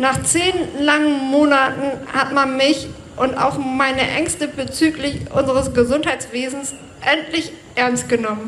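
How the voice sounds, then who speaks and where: A woman's high voice at a fairly slow pace, fairly even in intonation, with audible room echo and noticeable background noise. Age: 40s. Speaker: bus driver speaking at a protest rally. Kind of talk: prepared speech at a rally. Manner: read from a script.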